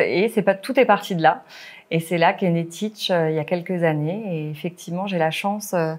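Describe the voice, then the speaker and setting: On a very clean recording with a silent background, a woman talks at a fairly quick pace and a fairly low pitch with ordinary pitch variation. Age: 30s. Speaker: primary school teacher. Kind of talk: interview. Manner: hesitant, many fillers.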